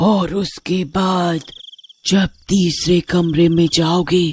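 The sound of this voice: A cartoonish character voice speaks at a middle pitch in a flat monotone. Faint music plays in the background.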